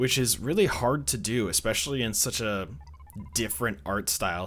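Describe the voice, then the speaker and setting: Music plays behind a man with a strong Midwestern accent who speaks fairly quickly with lively intonation. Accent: thick Midwestern US. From US Midwest. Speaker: indie game reviewer, YouTuber. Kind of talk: casual video commentary. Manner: casual, conversational with fillers.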